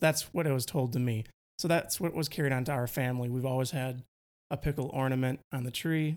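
Speaking at a moderate pace, a man with a Wisconsin accent keeps a medium pitch and fairly even intonation. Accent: Wisconsin Midwestern. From Wisconsin, US Midwest.

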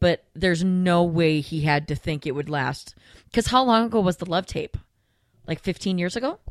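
In a very clean recording with a silent background and a dry, close sound with no echo, a woman with a normal speaking voice talks at a moderate pace and a fairly low pitch. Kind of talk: casual chat. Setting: studio.

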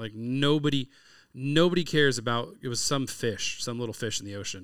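Medium-pitched male speech with an American accent and ordinary pitch variation, on a very clean recording with a silent background. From California. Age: 40s. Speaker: podcast host, chef and hunter. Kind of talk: casual interview chat.

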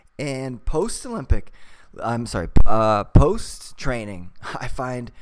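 A plain, everyday voice from a man, medium-pitched and ordinary in its pitch movement. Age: 40s. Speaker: podcast host, weightlifter and English teacher. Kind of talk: casual interview.

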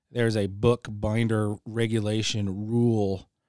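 In a very clean recording with a silent background and dry, close sound with no echo, a man with an American accent uses a normal speaking voice at medium pitch with fairly even intonation. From Idaho. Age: 40s. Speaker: retired military senior sergeant. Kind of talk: casual chat. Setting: studio.

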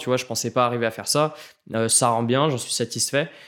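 On a very clean recording with a silent background, a man speaks fairly quickly at a medium pitch in a monotone, flat intonation. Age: 20s. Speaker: photographer and videographer. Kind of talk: casual chat.

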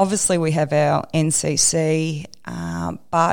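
Her pitch sits fairly low. The woman talks with an Australian accent. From Australia, Melbourne. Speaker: construction manager. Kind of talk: interview.

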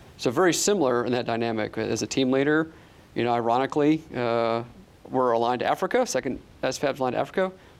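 Speaking very fast in an American accent, a man keeps a medium pitch with ordinary variation. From upstate New York. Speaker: army officer. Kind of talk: interview.

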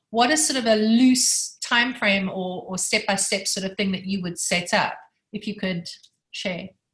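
Speaking with a non-native accent, a woman uses a medium pitch with ordinary pitch variation. Her pace is fairly slow. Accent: foreign, noticeably non-American. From South Africa. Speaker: textile and graphic designer. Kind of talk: casual chat, asking questions.

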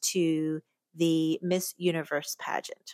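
The tone is animated and upbeat, with an American accent. The recording is very clean with a silent background, and the sound is dry and close with no echo. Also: woman. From Pennsylvania, US. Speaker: podcast host and pageant coach. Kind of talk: casual solo podcast monologue. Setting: recording at home. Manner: animated, upbeat.

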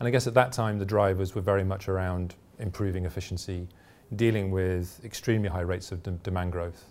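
Very fast and very deep, this man's British-accented voice sits low in pitch with fairly even intonation. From UK. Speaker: energy regulator executive. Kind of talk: interview. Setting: conference venue. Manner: hesitant, many fillers.

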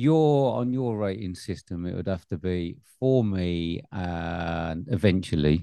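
Speaking with an English accent at a very slow pace with hardly any pauses, a man has a very deep, low pitch and a dark, mellow tone. His intonation is lively. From England. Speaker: film podcast host. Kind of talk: casual chat.

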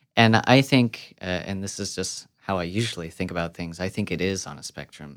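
On a very clean recording with a silent background, a man with an American accent talks in a very deep, low pitch. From US Midwest. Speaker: composer and clarinetist. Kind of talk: interview conversation.

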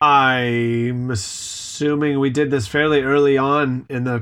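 An unremarkable speaking voice with an American accent and ordinary pitch variation, over a quiet background. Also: man. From California.

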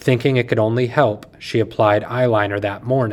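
The voice is plain reading aloud. Its intonation stays fairly even.

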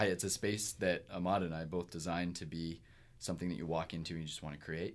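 A man's very deep, low voice at a very fast pace, with fairly even intonation. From Kingston, Ontario, Canada. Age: 30s. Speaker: musician. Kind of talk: casual interview chat. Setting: studio.

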